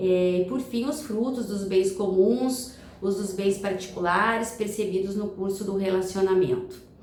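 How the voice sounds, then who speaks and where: A woman speaks at a fairly slow pace and medium pitch with hardly any pauses and ordinary pitch variation. Audible room echo and noticeable background noise fill the recording. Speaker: family lawyer. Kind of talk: recorded video lecture. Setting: recorded video talk. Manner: halting, many fillers and repetitions.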